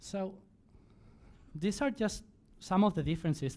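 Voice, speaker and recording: The speaker is a man, talking at a moderate speed. Silence surrounds his voice in a very clean recording. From Spain. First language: Spanish. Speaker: conference speaker. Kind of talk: conference talk. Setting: stage with audience.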